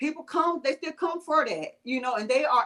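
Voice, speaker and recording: With a strong Southern US accent, a woman speaks in a bright, sharp tone and lively intonation. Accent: thick Southern US. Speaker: vegan blogger and home caterer. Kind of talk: interview. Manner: halting, many fillers.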